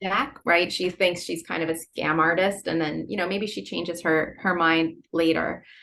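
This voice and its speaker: A woman with a Philadelphia accent speaks at a moderate pace with hardly any pauses, her fairly low pitch showing ordinary variation. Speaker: novelist. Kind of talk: interview.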